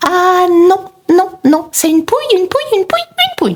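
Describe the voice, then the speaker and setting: A female-sounding, put-on character voice comes out squeaky and extremely high in pitch. It moves at a moderate pace. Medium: read story. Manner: obstinate, repetitive.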